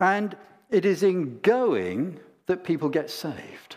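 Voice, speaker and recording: Very slowly, a man speaks with vocal fry. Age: old. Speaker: preacher. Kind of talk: sermon.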